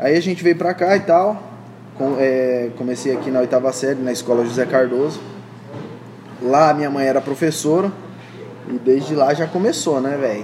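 A man's fairly high-pitched voice at a moderate pace, with ordinary pitch variation, long, frequent pauses and noticeable background noise. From Brazil, interior of Paraná. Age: 20s. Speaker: entrepreneur. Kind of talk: casual interview chat.

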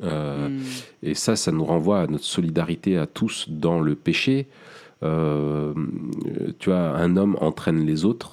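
With a very deep, low pitch, a man speaks at a very slow pace. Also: ordinary pitch variation. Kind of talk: casual discussion.

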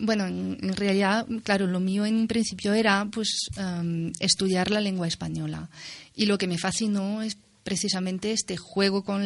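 A woman speaks with a French accent at medium pitch. Her intonation is flat and monotone, and her pace is fairly slow. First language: French (speaking Spanish). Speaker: university researcher of poetry. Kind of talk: radio interview.

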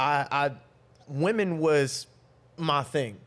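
A man with an ordinary speaking voice, fairly high-pitched and fairly even in intonation, on a very clean recording with a silent background. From North Carolina, Raleigh. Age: 30s. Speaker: relationship coach. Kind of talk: casual chat.

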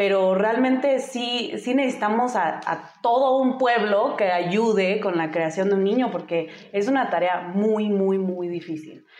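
A woman speaks at a medium pitch with ordinary pitch variation and a fairly slow pace. She leaves hardly any pauses, and noticeable background noise can be heard. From US, Denver, Colorado. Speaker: single mother and motorcyclist. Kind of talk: casual interview.

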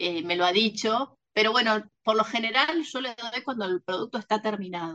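A plain, everyday voice moves at a moderate pace with hardly any pauses and ordinary pitch variation, recorded dry and close with no echo. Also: woman, fairly high pitch for a woman. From Argentina, Mar del Plata. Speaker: novelist. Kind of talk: interview.

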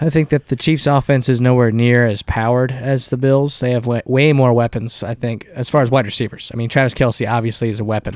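Here is a man with a normal speaking voice at medium pitch, with fairly even intonation. He talks at a fairly quick pace with hardly any pauses, in a dry, close sound with no echo. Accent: American. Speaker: sports podcast co-host. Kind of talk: casual chat.

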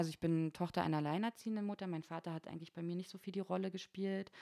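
A fairly low-pitched woman speaks in a monotone, flat intonation with a dry, close sound and no echo. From eastern Germany, Berlin and Frankfurt (Oder). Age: 30s. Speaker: bar and club manager. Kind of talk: casual chat.

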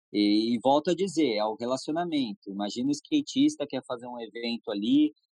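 A man has an ordinary speaking voice, medium in pitch with ordinary pitch variation. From Brazil, São Paulo state (Jacareí). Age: 20s. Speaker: skateboard brand manager and skater. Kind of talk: casual interview chat.

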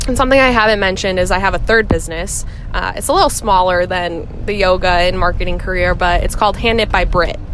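A woman talks very fast at a medium pitch, with ordinary pitch variation. Noticeable background noise and audible room echo fill the recording. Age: 20s. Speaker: affiliate marketing manager and yoga teacher. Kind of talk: recorded interview answers.

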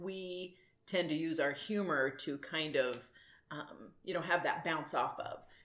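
A woman speaks at a very deep, low pitch. Her intonation stays fairly even. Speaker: mother of the host. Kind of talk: casual family conversation about grief.

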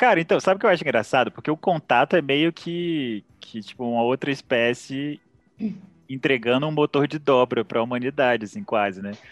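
A man with a medium pitch talks fairly quickly, his intonation lively. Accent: Brazilian. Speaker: podcast host. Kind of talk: casual chat.

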